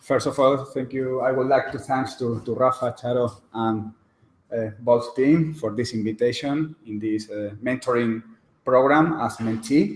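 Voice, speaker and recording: A man speaks with a Spanish accent in a medium pitch. His intonation is fairly even. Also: fairly slow pace. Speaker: lawyer. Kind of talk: lecture. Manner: halting.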